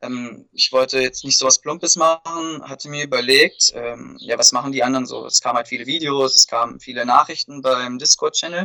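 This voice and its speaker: Recorded in a dry, close sound with no echo, a man speaks at a fairly quick pace. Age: 20s. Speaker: amateur poker player, event participant. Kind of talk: interview.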